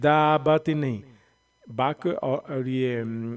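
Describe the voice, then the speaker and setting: The recording is very clean with a silent background as a man's medium-pitched voice moves with ordinary pitch variation. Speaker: Quran reading teacher. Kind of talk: tutorial.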